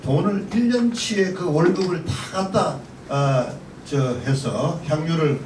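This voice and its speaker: Amid noticeable background noise and audible room echo, a high-pitched man speaks with lively intonation. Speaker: pastor and panel commentator. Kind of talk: forum commentary. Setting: panel forum.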